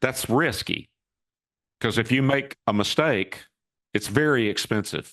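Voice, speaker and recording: In an unremarkable speaking voice, a man talks at a fairly slow pace with ordinary pitch variation against a quiet background. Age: 60s. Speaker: cybersecurity company founder and CEO. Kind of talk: interview.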